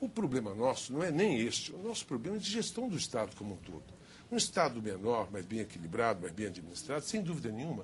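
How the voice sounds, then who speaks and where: There is vocal fry as a man speaks rather briskly. The rise and fall of his pitch is very wide. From Minas Gerais, Brazil. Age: 60s. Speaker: politician. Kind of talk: televised political debate.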